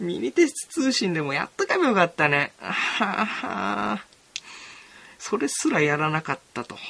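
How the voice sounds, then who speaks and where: At a moderate pace, a man with a high pitch swings his pitch very widely, pausing long and often against noticeable background noise. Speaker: student radio host. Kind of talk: casual solo radio talk.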